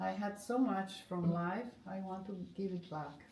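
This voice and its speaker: Audible room echo and noticeable background noise around a medium-pitched female voice. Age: 60s. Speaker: art therapist and former professional musician. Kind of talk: interview. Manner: halting.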